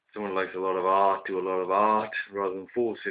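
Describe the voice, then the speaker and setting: A man with a British accent, a very deep, low pitch and monotone, flat intonation. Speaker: vlogger. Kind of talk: casual monologue. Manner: hesitant, many fillers.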